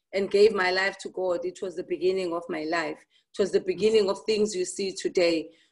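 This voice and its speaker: A woman speaks with a Zulu accent. Her pitch is medium, with ordinary pitch variation. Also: quiet background. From South Africa, KwaZulu-Natal. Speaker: entrepreneur; talk show guest. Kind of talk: interview. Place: home room. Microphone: video call.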